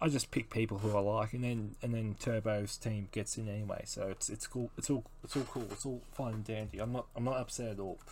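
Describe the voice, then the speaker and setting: On a very clean recording with a silent background, a man talks at a medium pitch and a fairly quick pace in monotone, flat intonation with hardly any pauses. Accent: Australian. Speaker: solo podcaster. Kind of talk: casual monologue. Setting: home recording.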